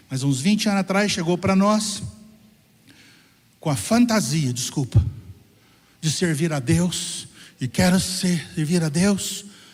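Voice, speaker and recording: Here a man talks with a high pitch and lively intonation. His pace is fairly slow. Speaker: pastor. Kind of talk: sermon. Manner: animated.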